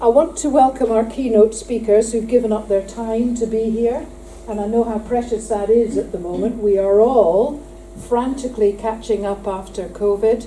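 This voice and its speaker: Audible room echo and noticeable background noise, with a moderate pace and fairly even intonation. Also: woman, fairly high pitch for a woman. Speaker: prison inspector. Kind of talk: conference speech. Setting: conference hall with audience.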